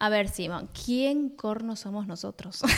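In a very clean recording with a silent background, a woman talks in a normal speaking voice. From Buenos Aires, Argentina. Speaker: podcast co-host. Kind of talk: casual chat between spouses.

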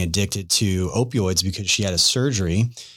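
Speaking at a moderate pace, the man has a very deep, low pitch. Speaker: podcast host. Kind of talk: interview conversation.

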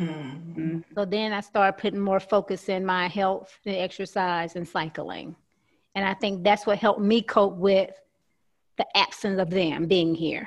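Over a quiet background, a woman with a Southern US accent speaks at a fairly slow pace with medium pitch and fairly even intonation. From US South, Alabama. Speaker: guest panelist. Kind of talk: casual group chat. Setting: video call.

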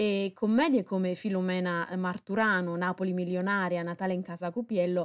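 A woman with a normal speaking voice talks at a moderate pace, medium pitch and fairly even intonation in a very clean recording with a silent background and a dry, close sound with no echo. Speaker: podcast host. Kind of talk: radio-style presentation.

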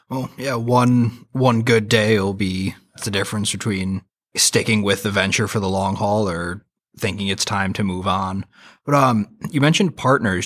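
A man speaks at a moderate pace with fairly even intonation, an unremarkable speaking voice, and a fairly low pitch. The recording is very clean, with a silent background. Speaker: podcast host. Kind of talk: interview podcast hosting.

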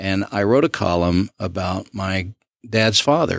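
On a very clean recording with a silent background and a dry, close sound with no echo, a man speaks in a fairly low voice with a Southern US accent. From Southwest Arkansas. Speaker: county commissioner. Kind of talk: interview.

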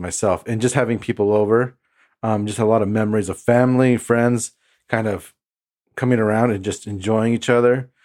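A man with a Californian accent speaks at a medium pitch with ordinary pitch variation, recorded very cleanly against a silent background. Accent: Californian American English. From US, southern California (Imperial Valley). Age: 30s. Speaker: podcast host. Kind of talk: casual chat, personal testimony.

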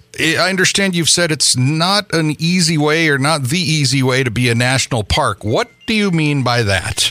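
Here a man with an American accent speaks at a fairly high pitch and moderate pace, with lively intonation. His loudness stays very even, while background noise is noticeable. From Michigan Upper Peninsula (Keweenaw). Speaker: podcast host. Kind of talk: interview.

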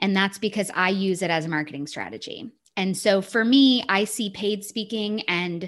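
Ordinary pitch variation and a moderate pace against a quiet background. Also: woman. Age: 30s. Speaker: business consultant and founder. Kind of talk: casual chat. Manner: animated.

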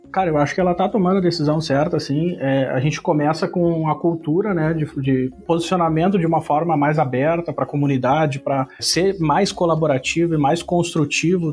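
Fairly high in pitch, a man with an unremarkable speaking voice talks at a fairly quick pace with hardly any pauses, fairly even intonation and very even loudness. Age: 30s. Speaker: software specialist. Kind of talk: casual interview.

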